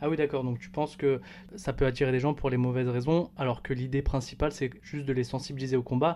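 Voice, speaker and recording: Speaking at a very fast pace, a man uses a dark, mellow tone at medium pitch with fairly even intonation. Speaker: podcast host. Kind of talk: casual chat. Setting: recorded at cousin's home.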